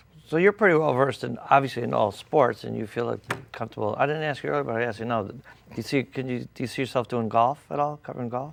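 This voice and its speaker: Vocal fry marks a man's medium-pitched voice as he talks at a very fast pace with ordinary pitch variation. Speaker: interview host. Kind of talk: interview host talk.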